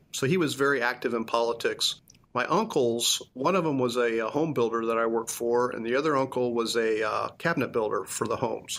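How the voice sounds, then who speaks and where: Over noticeable background noise, a man with an American accent speaks at a fairly quick pace and a medium pitch. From US Midwest, Indiana (Lebanon, near Indianapolis). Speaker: construction company CEO. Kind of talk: interview conversation.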